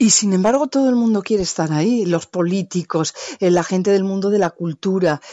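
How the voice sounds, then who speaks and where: A woman's voice at a medium pitch and fairly quick pace, with ordinary pitch variation and very even loudness. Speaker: radio journalist and podcast host. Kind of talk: interview. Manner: fluent.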